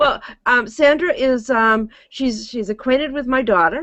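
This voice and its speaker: Slowing to a fairly slow pace, a woman with a slight Michigan accent speaks with ordinary pitch variation. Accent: slight Michigan nasal. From Michigan, US. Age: 60s. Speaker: talk show host. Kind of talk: interview chat.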